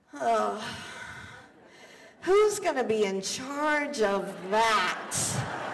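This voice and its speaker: A woman projects a raised voice in a theatrical tone, with very wide pitch swings. Noticeable background noise is present. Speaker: keynote speaker. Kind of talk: live keynote speech. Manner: high-energy, theatrical.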